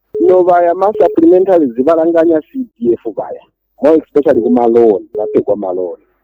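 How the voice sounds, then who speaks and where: A man talks at a fairly quick pace with a Zambian accent. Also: dry, close sound with no echo. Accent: Zambian (Tonga) English. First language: Tonga. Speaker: caller. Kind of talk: radio phone-in call.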